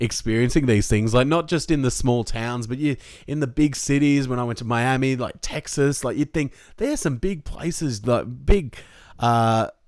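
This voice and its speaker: An Australian accent marks this man's speech, delivered at a moderate pace and medium pitch. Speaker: sports podcast host. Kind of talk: casual chat.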